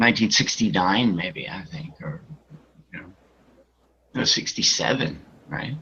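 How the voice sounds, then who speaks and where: In an American accent, a man talks at a fairly slow pace with a bright, sharp tone. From Massachusetts, US. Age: 60s. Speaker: cannabis grower and breeder. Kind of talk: podcast interview.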